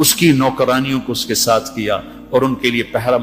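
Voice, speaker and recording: A man's voice sits at a medium pitch, with noticeable noise in the background. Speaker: Islamic preacher giving a sermon. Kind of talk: emotional religious sermon.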